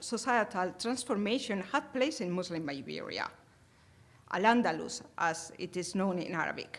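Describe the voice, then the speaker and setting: Here a woman speaks at a moderate pace. Her pitch makes very wide swings. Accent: Spanish. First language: Spanish. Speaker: academic conference presenter. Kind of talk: conference talk. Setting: conference hall with audience. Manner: hesitant, many filler sounds.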